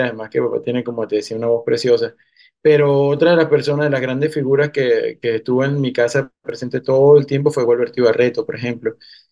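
This man's voice sits at a fairly high pitch. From eastern Venezuela, Cumaná. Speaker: musician. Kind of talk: interview. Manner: halting.

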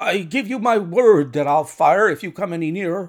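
A man puts on a character voice, pitched high and shaky. He moves at a moderate pace with lively intonation. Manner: nervous, threatening.

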